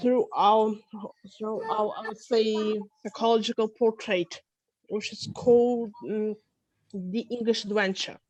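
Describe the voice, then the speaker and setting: The speaker, in a Russian accent, talks at a fairly slow pace with monotone, flat intonation, big swings in loudness, and long, frequent pauses. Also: woman, fairly high pitch for a woman. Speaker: psychologist and English teacher. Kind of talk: self-introduction.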